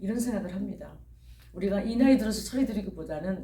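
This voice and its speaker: A man's voice with audible room echo. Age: 60s. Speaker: pastor. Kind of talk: sermon.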